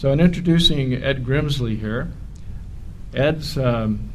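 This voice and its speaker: A man at a fairly slow pace with audible room echo. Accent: American. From California. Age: 60s. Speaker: conspiracy talk host. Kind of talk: event talk introduction. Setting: hotel event stage. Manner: halting.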